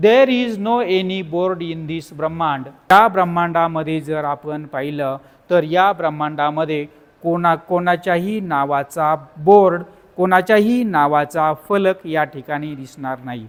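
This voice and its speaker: Pitched high, a man talks with ordinary variation in his pitch. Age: 50s. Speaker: teacher and YouTuber. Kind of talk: book summary talk.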